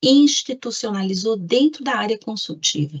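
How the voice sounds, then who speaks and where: A woman with a plain, everyday voice speaks at a fairly high pitch. Her intonation is lively and her pace moderate. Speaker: government lawyer. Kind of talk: presentation in an online meeting.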